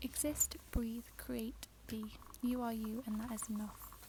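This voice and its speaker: Noticeable background noise sits behind a soft-spoken woman. She talks in a British accent. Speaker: journaling craft youtuber. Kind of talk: ASMR journal flip-through tour.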